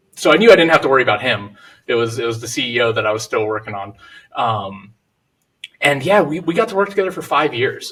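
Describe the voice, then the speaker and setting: Very fast talking from a man at medium pitch. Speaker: real estate investor. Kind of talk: podcast interview.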